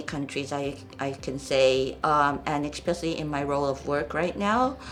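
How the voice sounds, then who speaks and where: A woman's very deep, low-pitched voice with a Japanese accent, at a moderate pace. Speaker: NGO programs director. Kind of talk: podcast interview. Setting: studio. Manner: hesitant, many fillers.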